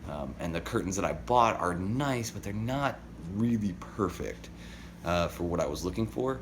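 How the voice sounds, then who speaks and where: A man's lively intonation at a moderate pace, with audible room echo around him. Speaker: daily vlogger. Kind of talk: casual vlog monologue.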